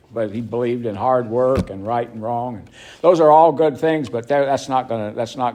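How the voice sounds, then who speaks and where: A man at a medium pitch, at a fairly quick pace with ordinary pitch variation. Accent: North Carolina. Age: 70s. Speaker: recovery speaker. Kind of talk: recovery talk to a meeting. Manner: halting.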